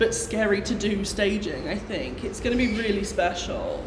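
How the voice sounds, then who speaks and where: Over noticeable background noise, a woman speaks at medium pitch and a moderate pace with ordinary pitch variation. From English Midlands. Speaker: pop contest commentator. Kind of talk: casual chat. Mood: excited, chatty. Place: shop. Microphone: phone near.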